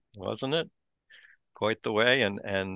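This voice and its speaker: This man has an ordinary speaking voice with a fairly low pitch. He talks at a moderate pace. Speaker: podcast host and convention moderator. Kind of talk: casual chat.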